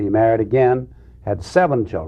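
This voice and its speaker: A man's somewhat breathy, medium-pitched voice at a fairly slow pace. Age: 60s. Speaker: president's grandson. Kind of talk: TV interview.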